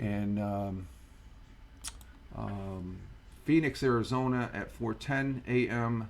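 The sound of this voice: Slowly and at a fairly low pitch, a man speaks with an American accent. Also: ordinary pitch variation.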